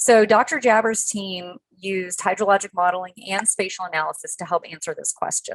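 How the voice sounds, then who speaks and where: Speaking at a fairly quick pace, a woman has a medium pitch. The sound is dry and close, with no echo. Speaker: conservation researcher presenting a study. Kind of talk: webinar presentation. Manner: fast.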